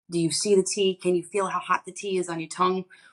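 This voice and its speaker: Recorded dry and close with no echo, a woman speaks at a medium pitch. Her pace is fairly quick and her intonation fairly even. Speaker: psychic medium. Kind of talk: interview. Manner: fast.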